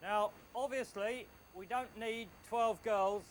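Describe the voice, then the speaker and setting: The speaker is a man. He has an English accent. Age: 40s. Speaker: wall of death rider and showman. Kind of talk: casual explanation to recruits.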